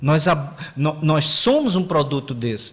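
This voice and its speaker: With lively intonation and a somewhat breathy voice, a man talks at a moderate pace. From Paraíba, Brazil (João Pessoa area). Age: 60s. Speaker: history professor. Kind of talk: podcast interview. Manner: halting, many repetitions and fillers.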